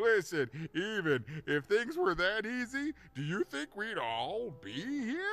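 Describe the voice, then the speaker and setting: Using a put-on character voice, a man speaks high for a male voice and at a fairly slow pace. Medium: video game. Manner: chuckling, rambling, self-deprecating.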